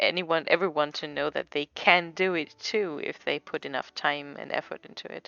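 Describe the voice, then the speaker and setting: A woman with a non-native accent speaks at a moderate pace. Her pitch is fairly low and her intonation monotone and flat. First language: not English. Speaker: comic artist streamer. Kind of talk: casual livestream chat while drawing. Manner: halting, stumbles over words.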